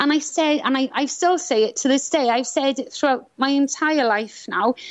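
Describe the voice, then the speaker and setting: The voice moves at a moderate pace with very even loudness and ordinary pitch variation. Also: woman, high pitch for a woman. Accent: Welsh. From Wales (Swansea, South Wales). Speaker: author and angel healing teacher. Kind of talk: interview.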